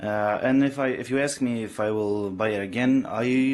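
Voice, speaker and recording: Against a quiet background, a man with a non-native accent speaks at a fairly low pitch with fairly even intonation. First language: not English. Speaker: motorcyclist. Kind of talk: casual product review to camera. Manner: hesitant, many fillers.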